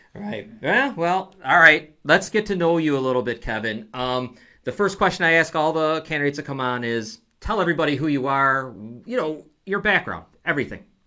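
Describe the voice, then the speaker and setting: A man with a Buffalo accent, fairly high-pitched, bright and sharp in tone, lively intonation, a fairly quick pace, and a very clean recording over a silent background. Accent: Western New York (Buffalo). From Niagara Falls, Western New York. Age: 50s. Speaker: talk show host. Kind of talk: casual interview. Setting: studio.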